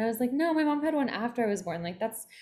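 A woman talks at a very fast pace in an American accent. Her voice is somewhat breathy. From Philadelphia, US East Coast. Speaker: spiritual mentor. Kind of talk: interview.

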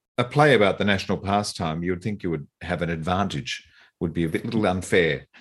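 With an Australian accent, a man speaks at a fairly quick pace and a very deep, low pitch. His pitch varies in an ordinary way, and the background is quiet. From eastern Australia. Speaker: podcast host. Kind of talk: interview.

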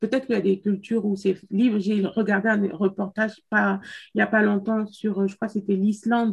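A woman speaks at a medium pitch, somewhat breathy. The background is quiet. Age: 30s. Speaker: podcast co-host. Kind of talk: casual chat. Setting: video call.

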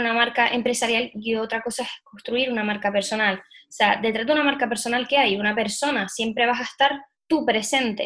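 A woman with a normal speaking voice, fairly high in pitch, at a moderate pace and with fairly even intonation. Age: 20s. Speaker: allergy coach and entrepreneur. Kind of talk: interview. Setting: remote recording.

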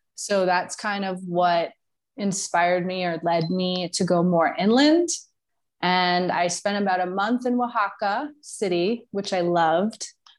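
A woman with an American accent speaks at a fairly slow pace in a medium pitch. Hers is an unremarkable speaking voice with ordinary pitch variation. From New York. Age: 30s. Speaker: digital nomad and brand consultant. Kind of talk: casual interview.

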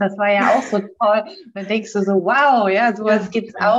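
This woman's voice sits fairly high in pitch. She talks at a fairly slow pace. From northern Germany (born in Bremen). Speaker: wedding officiant. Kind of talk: casual chat. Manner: calm, relaxed.

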